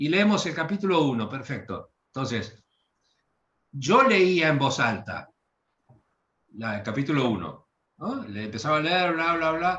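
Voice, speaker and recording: A man with a Rioplatense accent, a fairly high pitch, a bright, sharp tone, very wide pitch swings and a moderate pace. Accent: Argentine Rioplatense Spanish. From Argentina, Bahía Blanca. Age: 60s. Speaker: literary translator. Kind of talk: interview. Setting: video call. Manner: hesitant, with fillers.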